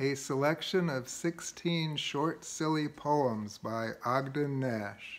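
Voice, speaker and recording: A man talks at a very slow pace. His pitch sits fairly high. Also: ordinary pitch variation. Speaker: amateur poetry reader. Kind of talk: poem reading. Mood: gently humorous, relaxed. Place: home room. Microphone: phone near.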